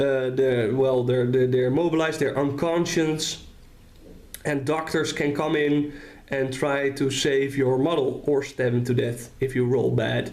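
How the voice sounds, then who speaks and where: In a Dutch accent, a man speaks at a fairly slow pace, keeping his loudness very even and his intonation fairly even. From Netherlands. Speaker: tabletop wargame hobbyist. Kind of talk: casual talk to camera. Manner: hesitant, many fillers.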